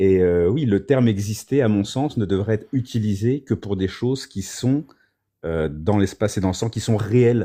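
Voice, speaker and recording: In a quiet background, the voice has a dark, mellow tone, ordinary pitch variation and a moderate pace. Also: man, fairly low pitch for a man. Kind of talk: philosophical discussion on a livestream. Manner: hesitant, many fillers.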